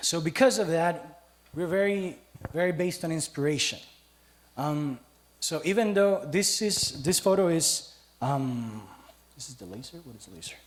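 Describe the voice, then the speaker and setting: A man with a Costa Rican accent talks at a moderate pace, his high pitch carried by lively intonation and big swings in loudness. Long, frequent pauses break up his speech, with noticeable background noise and audible room echo. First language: Spanish. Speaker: teacher giving a church testimony. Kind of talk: church testimony. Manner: casual, humorous.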